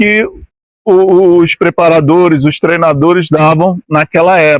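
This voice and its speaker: Fairly even intonation in a high-pitched male voice. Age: 60s. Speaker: former amateur footballer. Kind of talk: interview. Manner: halting, with frequent repetitions.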